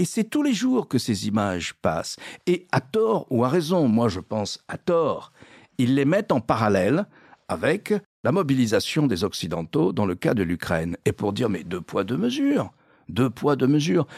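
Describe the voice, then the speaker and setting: A man at medium pitch with vocal fry and very wide pitch swings, fairly slow pace, in a very clean recording with a silent background and a dry, close sound with no echo. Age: 70s. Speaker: newspaper columnist, international affairs specialist. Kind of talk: panel discussion on current affairs.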